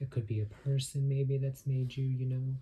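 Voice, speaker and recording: A man's dark, mellow, somewhat breathy voice at a moderate pace. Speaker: tarot reader. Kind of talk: tarot reading. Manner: frequent filler words; stuttering.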